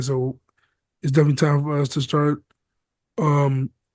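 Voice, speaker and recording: A man's fairly high-pitched voice with a dark, mellow tone, fairly even intonation and an American accent. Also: long, frequent pauses. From US Midwest. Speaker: podcast co-host. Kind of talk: casual chat.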